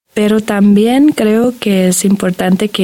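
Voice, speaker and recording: A woman with a German accent speaks at a fairly slow pace in a dark, mellow tone. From Germany. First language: German (speaking Spanish). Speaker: graduate student in biology. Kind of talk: radio interview.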